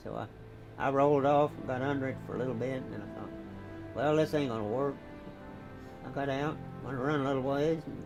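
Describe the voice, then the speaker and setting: With music in the background, a man in an American accent speaks at a fairly quick pace and medium pitch, in a monotone, flat intonation broken by long, frequent pauses. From Missouri, USA. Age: 80s+. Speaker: war veteran. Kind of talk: interview answer.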